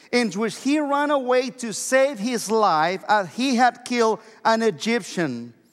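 There is ordinary pitch variation in this man's high-pitched voice. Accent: Mexican. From Mexico. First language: Spanish. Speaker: pastor. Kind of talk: sermon. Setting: church.

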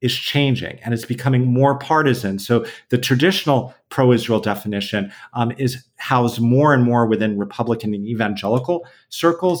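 A man talks at a moderate pace with an American accent. His pitch is medium with ordinary variation, and it is a plain, everyday voice. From US, San Diego. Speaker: peacebuilding nonprofit founder. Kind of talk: interview.

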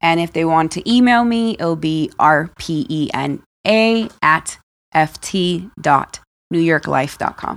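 A woman speaks in a plain, everyday voice with fairly low pitch and ordinary pitch variation. The recording is very clean, with a silent background. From Dominican Republic, raised in US. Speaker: life insurance broker. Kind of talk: interview.

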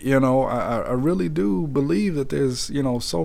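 Background noise clearly present under a man's echoing voice in a room. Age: 30s. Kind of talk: personal testimony monologue. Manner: halting, many fillers.

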